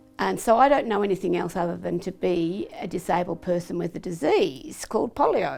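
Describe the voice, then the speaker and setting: With an Australian accent, a woman talks at a fairly quick pace. She leaves hardly any pauses. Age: 70s. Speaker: polio survivor. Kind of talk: testimony. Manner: halting.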